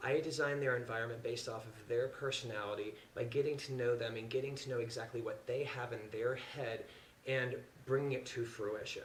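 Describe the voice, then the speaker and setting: Over noticeable background noise and audible room echo, a man with an American accent speaks at a fairly quick pace. His medium pitch stays monotone and flat. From US Midwest, Indiana. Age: 30s. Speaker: interior designer. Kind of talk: audition talk to camera. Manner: casual, hesitant with many fillers.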